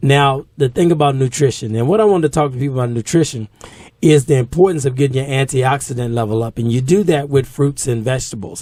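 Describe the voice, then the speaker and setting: Speaking very fast with an American accent, a man has a medium pitch and ordinary pitch variation. His tone is dark, mellow and somewhat breathy. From Norfolk, Virginia. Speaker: fitness trainer. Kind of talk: radio talk show chat.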